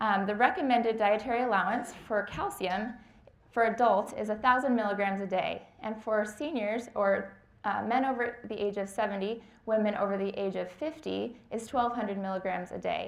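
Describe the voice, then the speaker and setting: Fairly even intonation from a woman speaking fairly high, moderate pace, room echo audible. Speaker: dietetic intern. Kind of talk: lecture.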